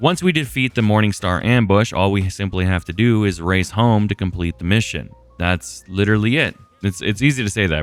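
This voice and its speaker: A man's very deep, low voice at a fairly quick pace with lively intonation, music in the background. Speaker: gaming commentator. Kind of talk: casual gameplay commentary.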